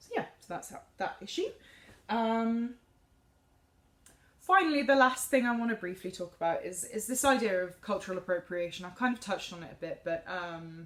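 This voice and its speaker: A woman with a southern English accent speaks at a fairly high pitch. Her lively intonation comes with big swings in loudness. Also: moderate pace. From England, Cambridge. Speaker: music student, soprano singer. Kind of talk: class presentation. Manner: halting.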